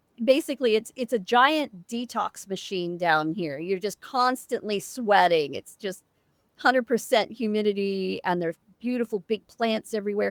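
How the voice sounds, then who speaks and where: Fairly high-pitched woman with an animated tone and lively intonation at a fairly slow pace, dry, close sound with no echo. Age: 60s. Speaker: immunotoxicology researcher. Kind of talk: podcast interview.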